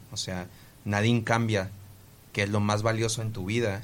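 A man at a moderate pace, fairly low in pitch with fairly even intonation, audible room echo around him. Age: 20s. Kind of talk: casual podcast chat with storytelling. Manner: halting, with frequent repetitions.

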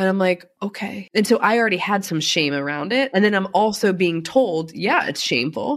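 With an American accent and a normal speaking voice, a woman talks at a fairly quick pace, her fairly low pitch showing ordinary variation. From US, Baltimore. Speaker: addiction recovery advocate and wellness coach. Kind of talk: casual interview.

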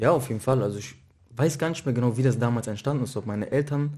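A man's dark, mellow tone at medium pitch, with ordinary pitch variation and a quiet background. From Mainz, Germany. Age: 20s. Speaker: professional footballer. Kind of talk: casual interview.

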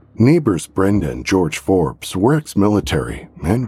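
In a dramatic tone, a man speaks at a moderate pace with a very deep, low pitch, a dark, mellow sound and vocal fry. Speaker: podcast narrator. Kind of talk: scripted true-crime narration. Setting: studio. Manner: dramatic, grave, suspenseful narration.

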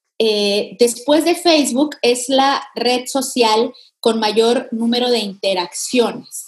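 Her pitch high and its variation ordinary, a woman speaks very slowly. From Mexico. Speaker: digital consultant. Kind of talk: interview.

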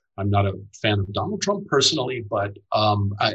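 This man has a fairly low pitch and speaks with an American accent. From United States. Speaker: playwright and columnist. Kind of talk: interview. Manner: halting, many fillers.

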